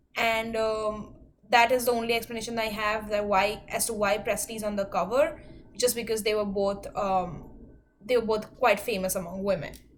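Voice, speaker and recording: In a room with audible echo, a woman talks at a moderate pace with fairly even intonation. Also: fairly high pitch for a woman. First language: not English. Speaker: student. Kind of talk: class presentation. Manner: hesitant, many fillers.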